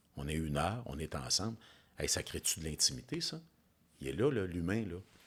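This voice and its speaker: This man has a very deep, low voice with vocal fry. His intonation is lively. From Quebec, Bas-Saint-Laurent. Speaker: business coach. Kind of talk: interview. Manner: fast; animated.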